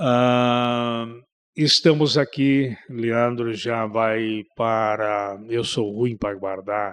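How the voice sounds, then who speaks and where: A man speaks very slowly with fairly even intonation. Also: very clean recording, silent background. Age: 60s. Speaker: pastor. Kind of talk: interview testimony.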